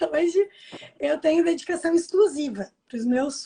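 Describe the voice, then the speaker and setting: A woman talks at a fairly slow pace with a dark, mellow tone. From Brazil. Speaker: language teacher and online course owner. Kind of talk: live video interview. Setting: video call from home.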